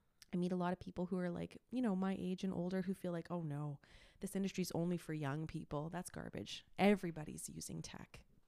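A woman with a Canadian accent talks at a fairly quick pace in a fairly low pitch. Her tone is dark and mellow, her intonation fairly even. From Quebec, Montreal anglophone suburb. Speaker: YouTuber and content creator. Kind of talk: casual interview.

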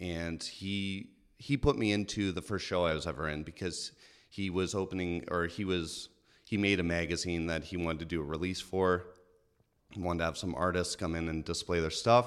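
A man's very deep, low voice with fairly even intonation at a moderate pace, in a very clean recording with a silent background. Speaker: artist. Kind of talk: casual chat.

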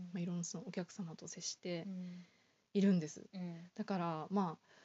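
A somewhat breathy woman at medium pitch and moderate pace. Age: 20s. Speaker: office worker guest. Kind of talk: casual interview. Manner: halting.

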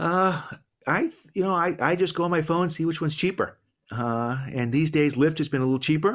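On a very clean recording with a silent background, a man with a normal speaking voice talks at a fairly quick pace with a fairly high pitch and ordinary pitch variation. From Boston. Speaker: business professor and entrepreneur. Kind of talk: interview conversation.

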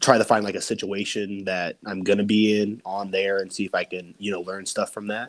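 A normal speaking voice at a moderate pace in a very clean recording, silent background. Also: man. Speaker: pro wrestler. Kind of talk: casual chat.

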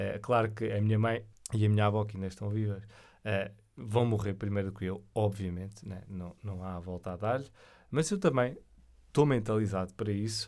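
A man with a European Portuguese accent talks at a moderate pace, his fairly low pitch held in fairly even intonation. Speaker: podcast host. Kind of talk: solo monologue on spirituality. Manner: hesitant, many fillers.

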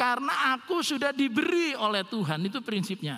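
A raised, projected voice makes very wide pitch swings at a moderate pace over noticeable background noise. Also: man. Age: 60s. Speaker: pastor. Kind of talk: sermon.

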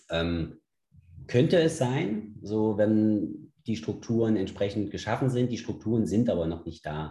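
A man's somewhat breathy voice with a dark, mellow tone, lively intonation, and a fairly slow pace. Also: fairly low pitch for a man. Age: 30s. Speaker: sports league founder and CrossFit gym owner. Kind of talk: casual interview.

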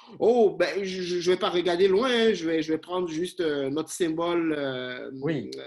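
Over noticeable background noise, a high-pitched man speaks fairly slowly with hardly any pauses and ordinary pitch variation. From Benin, Cotonou. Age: 30s. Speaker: communication professor and researcher. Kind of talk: interview.

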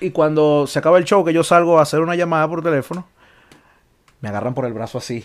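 A man in a Caracas accent, fairly high in pitch, racing at a very fast pace yet broken by long, frequent pauses. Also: ordinary pitch variation. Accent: Venezuelan Spanish (Caracas). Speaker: podcast co-host. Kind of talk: casual chat. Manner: animated.

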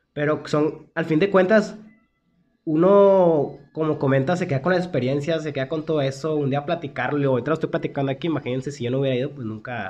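Music plays in the background as a man talks at a very fast pace. His pitch is fairly high, with ordinary variation. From Mexico, Monterrey. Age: 20s. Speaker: podcast co-host. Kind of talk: casual chat.

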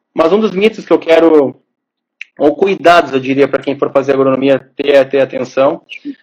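This man has an ordinary speaking voice, fairly high in pitch with ordinary variation, delivered at a moderate pace. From southern Brazil, Porto Alegre. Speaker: agronomist. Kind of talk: casual interview on a live stream.

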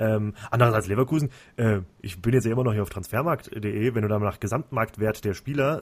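This is an unremarkable speaking voice. The recording is very clean, with a silent background. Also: man. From Central Hesse, Germany. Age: 30s. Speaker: football podcast host. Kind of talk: casual chat.

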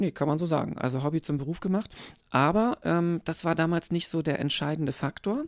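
A man's ordinary speaking voice, fairly high in pitch with ordinary pitch variation and a fairly quick pace, in a dry, close sound with no echo on a very clean recording with a silent background. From eastern Germany. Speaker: pastor. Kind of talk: casual interview.

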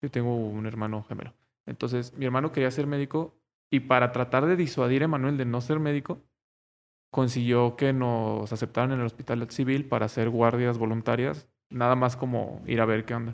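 A man talks in a Mexican accent at a medium pitch. His intonation is fairly even. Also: moderate pace. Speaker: podcast co-host, medical student. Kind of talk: casual chat. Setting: wearing face mask.

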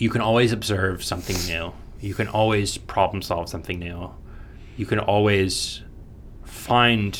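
In an American accent, a man with a fairly low pitch speaks at a moderate pace amid audible room echo. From US, Florida (Orlando). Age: 20s. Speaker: mechanical engineering graduate. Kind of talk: casual chat.

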